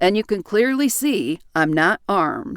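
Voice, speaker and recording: Using a put-on character voice, a woman growls at a medium pitch. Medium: read story. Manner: blunt, plainspoken.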